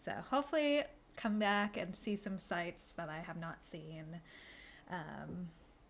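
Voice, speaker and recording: In an ordinary speaking voice, a woman talks at medium pitch with lively intonation. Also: fairly slow pace. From United States. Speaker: game streamer. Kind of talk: casual chat. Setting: live stream. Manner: relaxed, many fillers.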